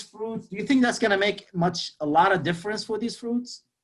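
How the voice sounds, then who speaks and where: A man speaks with a Lebanese accent. His pitch varies in an ordinary way. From Lebanon. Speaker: motivational speaker. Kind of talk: motivational talk. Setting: webinar. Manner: animated, repetitive.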